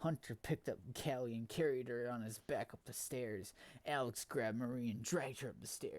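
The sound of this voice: The pitch of the unforced reading voice varies in an ordinary way.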